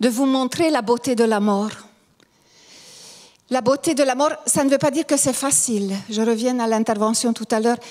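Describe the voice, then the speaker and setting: At a moderate pace, a woman with a high pitch speaks with ordinary pitch variation and long, frequent pauses. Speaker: lecturer on grief and Jungian psychology. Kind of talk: conference talk. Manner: halting, many hesitations.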